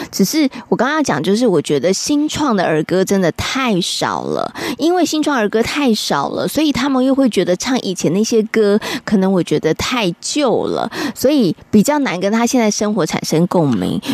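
Over noticeable background noise, a woman with a fairly high pitch talks at a moderate pace, making very wide pitch swings while her loudness stays very even. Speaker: radio host. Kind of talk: radio show chat.

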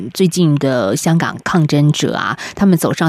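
A woman speaks with very deep, low pitch and lively intonation, in a dry, close recording with no echo but noticeable background noise. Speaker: radio host. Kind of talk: radio interview.

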